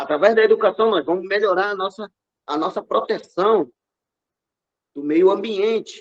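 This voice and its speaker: A man's high-pitched voice broken by long, frequent pauses. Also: ordinary pitch variation, moderate pace. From Brazil, Amazonas (Yanomami village, São Gabriel da Cachoeira). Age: 40s. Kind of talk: interview. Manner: passionate.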